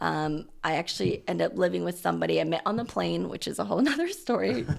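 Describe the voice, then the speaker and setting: A woman with an American accent at a very fast pace, over noticeable background noise. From US Pacific Northwest, Portland, Oregon. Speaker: dentist and practice owner. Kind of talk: podcast interview.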